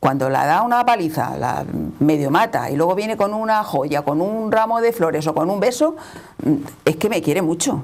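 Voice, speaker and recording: Over noticeable background noise, a woman speaks at a moderate pace in a medium pitch, swinging very widely up and down. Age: 60s. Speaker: panel guest. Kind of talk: panel discussion.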